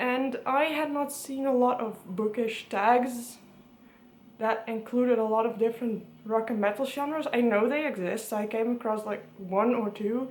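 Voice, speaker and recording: A woman with a Dutch accent and a high pitch speaks at a fairly slow pace amid audible room echo. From Netherlands, Friesland. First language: Dutch and Frisian. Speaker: book vlogger. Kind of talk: casual vlog talk.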